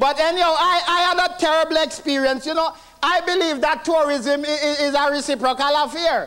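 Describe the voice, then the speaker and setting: The speaker is a man talking at a moderate pace. Noticeable background noise runs behind him. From Jamaica. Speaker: stand-up comedian. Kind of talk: stand-up comedy set. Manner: storytelling, conversational.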